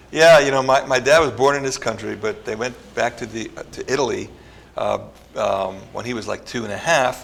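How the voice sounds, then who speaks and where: Noticeable background noise behind a man at a medium pitch, fairly quick pace and ordinary pitch variation. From northern New Jersey, US. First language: Italian. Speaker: neuroscience researcher. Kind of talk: interview. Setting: studio.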